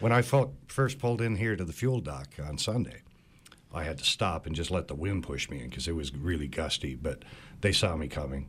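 A man with a Cape Breton accent, a very deep, low pitch and vocal fry, at a fairly quick pace with very wide pitch swings. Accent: Cape Breton Canadian English. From Cape Breton Island, Nova Scotia. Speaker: boat owner. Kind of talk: casual chat.

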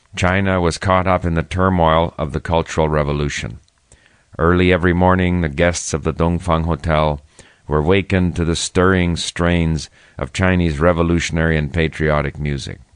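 A man talks in a calm tone with a very deep, low pitch. His pace is moderate and his intonation fairly even. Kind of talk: history documentary narration, scripted first-person memoir read aloud. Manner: measured, formal, even-paced; calm and reflective storytelling.

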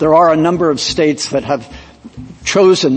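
A man talks with fairly even intonation. Noticeable background noise runs behind him. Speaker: government lawyer arguing before supreme court. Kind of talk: oral argument. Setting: courtroom.

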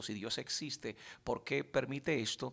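Here a man with an unremarkable speaking voice talks at a fairly slow pace with ordinary pitch variation, in a very clean recording with a silent background. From Dominican Republic. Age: 40s. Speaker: pastor. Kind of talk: interview testimony.

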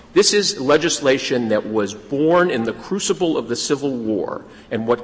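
An ordinary speaking voice with lively intonation. The pace is fairly slow. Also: man. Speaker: lawyer arguing before a court. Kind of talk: oral argument before a court. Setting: courtroom. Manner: formal.

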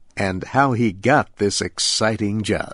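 Over a quiet background, a man speaks at a very slow pace with medium pitch and ordinary pitch variation. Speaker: radio host. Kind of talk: scripted narration, nature documentary style. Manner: clear, slow, simple Special English delivery.

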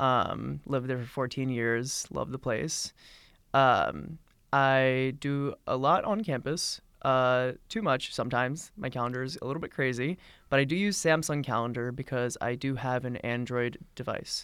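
In a very clean recording with a silent background, a man with an American accent uses an unremarkable speaking voice at medium pitch, with ordinary pitch variation and a moderate pace. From Philadelphia. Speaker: college student. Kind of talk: casual chat.

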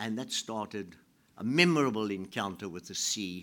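Pitch swings very widely in this man's fairly low voice. He keeps a moderate pace. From South Africa. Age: 80s+. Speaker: writer. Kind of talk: speech to an audience. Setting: stage with audience.

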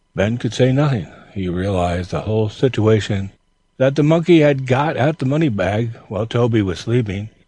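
The background stays quiet. An unforced reading voice is heard.

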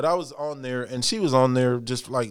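An unremarkable speaking voice talks at a fairly quick pace with an American accent. Its pitch varies in an ordinary way. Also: man. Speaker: former corrections officer, church member. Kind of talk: casual interview.

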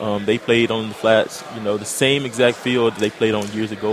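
Noticeable background noise sits behind this recording. A man speaks at medium pitch and a fairly quick pace. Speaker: college football player. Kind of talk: interview.

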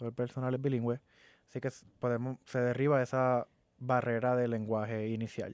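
A man is heard in a dry, close sound with no echo. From Puerto Rico. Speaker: community advocate and shooting survivor. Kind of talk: interview. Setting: studio.

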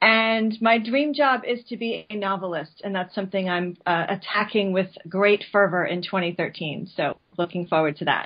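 In a normal speaking voice, a woman with an American accent talks at a moderate pace and medium pitch with ordinary pitch variation. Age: 40s. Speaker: branding and content marketing specialist. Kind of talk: interview. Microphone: connection dropped out.

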